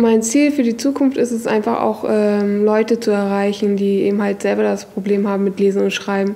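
The pace is moderate, with hardly any pauses. Intonation is fairly even and loudness very even. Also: woman. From northern Germany, Hamburg; Germany. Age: 20s. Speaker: kitchen assistant and literacy self-help group member; interviewee. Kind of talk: interview testimony; interview answer. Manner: hesitant, many fillers. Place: classroom.

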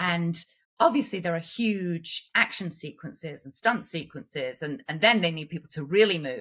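A woman with an English accent speaks at a moderate pace, her fairly low voice carrying lively intonation. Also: big swings in loudness, quiet background. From England. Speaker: actress, puppeteer, performance capture artist; actress. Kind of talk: podcast interview answer. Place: home room.

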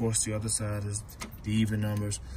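A man speaks over noticeable background noise. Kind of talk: repair tutorial commentary. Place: garage. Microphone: phone near.

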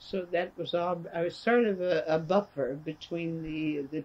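Speaking at a fairly slow pace, a woman uses a low pitch.

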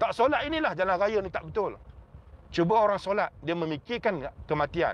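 The man's voice is high-pitched and animated, at a moderate pace. The sound is dry with no echo. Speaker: religious teacher. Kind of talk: religious talk to a crowd. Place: car. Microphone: phone near.

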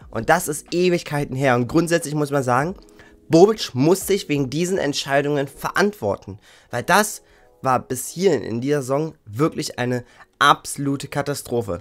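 Moderately paced male speech, fairly high in pitch and lively in intonation. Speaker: football YouTuber. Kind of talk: angry rant about team's failures. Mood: frustrated, critical. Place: home room.

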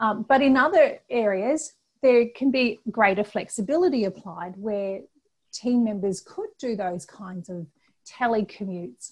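A somewhat breathy woman speaks at a fairly slow pace, her loudness swinging widely. The background stays quiet. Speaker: presenter. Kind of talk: webinar presentation. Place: home room. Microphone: earbuds.

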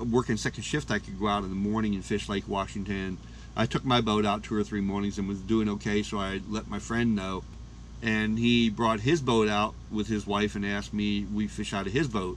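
A plain, everyday voice, this man's speech moves at a moderate pace with a fairly low pitch and ordinary pitch variation. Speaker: fishing vlogger. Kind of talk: casual narration.

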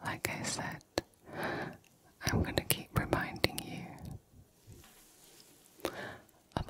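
Soft-spoken whispering over noticeable background noise. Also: woman, dry sound with no echo. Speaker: ASMR creator. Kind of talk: soft ASMR affirmation talk. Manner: soft close-mic ASMR whisper. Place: home room. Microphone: studio mic.

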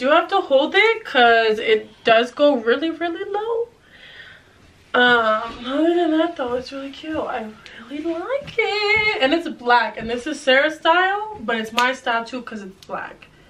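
A woman's high voice at a fairly slow pace, with very wide pitch swings and big swings in loudness over light background noise. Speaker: fashion YouTuber. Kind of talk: casual try-on haul vlog. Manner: animated, laughs often. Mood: cheerful, playful. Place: home room. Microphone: camera far.

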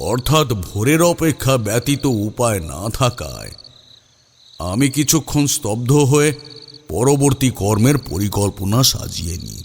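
A man speaks in a put-on character voice with a slightly husky edge. His pitch swings widely at a fairly slow pace. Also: medium pitch for a man.

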